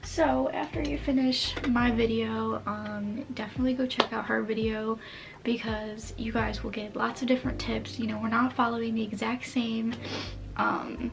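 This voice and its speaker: There is noticeable background noise in this clip. The speech moves at a moderate pace. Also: woman. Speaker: college lifestyle vlogger. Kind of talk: casual chat. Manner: casual, filler-heavy.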